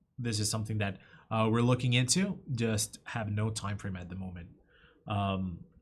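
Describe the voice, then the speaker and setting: Somewhat breathy and fairly low-pitched, a man speaks with ordinary pitch variation. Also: moderate pace. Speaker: software company webinar presenter. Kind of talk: webinar Q&A. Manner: halting, many fillers.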